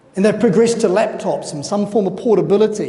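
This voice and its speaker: Spoken at a fairly quick pace in a New Zealand accent, the clip has noticeable background noise. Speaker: conference speaker. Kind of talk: conference presentation.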